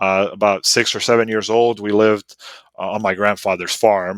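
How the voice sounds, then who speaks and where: A man with a Serbo-Croatian accent talks in a fairly low pitch with monotone, flat intonation. The sound is dry and close with no echo, on a very clean recording with a silent background. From US South (North Carolina), born in Bosnia. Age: 30s. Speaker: automotive writer and racer. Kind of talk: casual chat.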